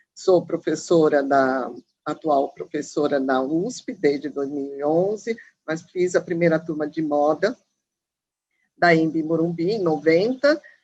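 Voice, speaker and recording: Very deep and low in pitch, a woman speaks at a fairly slow pace. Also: ordinary pitch variation. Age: 60s. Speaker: fashion professor. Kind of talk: panel discussion.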